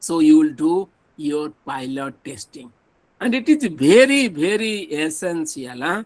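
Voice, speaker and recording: With an Odisha accent, a man speaks at a fairly slow pace in a fairly high voice, with lively intonation and big swings in loudness. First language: Odia. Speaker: professor. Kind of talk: lecture.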